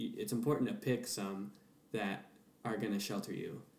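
A man talks over noticeable background noise, and room echo is audible. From US Pacific Northwest, Seattle. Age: 20s. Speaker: performer and musician. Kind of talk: casual interview chat.

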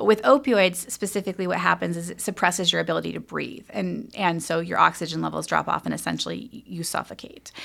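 She speaks very fast in an American accent, her loudness swinging widely and hardly any pauses breaking her speech. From US West Coast, Humboldt County, northern California. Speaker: public health officer and physician. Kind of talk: interview.

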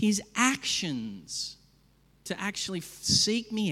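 With an Australian accent, the speaker goes very slowly, using lively intonation and a bright, sharp tone. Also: man. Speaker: pastor. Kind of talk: sermon. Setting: church.

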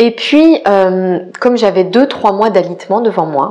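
Her pace is fairly slow and her pitch medium. The woman's intonation is lively. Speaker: podcast host and life coach. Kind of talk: personal storytelling monologue. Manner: hesitant, many fillers.

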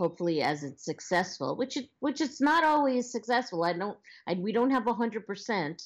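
Talking fairly quickly in a Long Island accent, a woman swings her pitch very widely. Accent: Long Island New York. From Long Island, New York. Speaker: social media professional and former actress. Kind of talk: casual interview. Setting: phone call.

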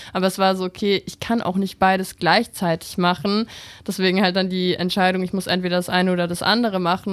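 Against music in the background, a woman of medium pitch speaks very fast in a flat monotone. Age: 20s. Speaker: TikTok content creator and model. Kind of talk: interview. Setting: radio studio.

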